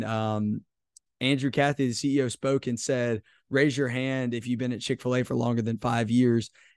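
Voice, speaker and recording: A man with an unremarkable speaking voice at medium pitch, ordinary pitch variation, a dry, close sound with no echo, and a quiet background. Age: 20s. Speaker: leadership podcast host. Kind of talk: casual interview conversation.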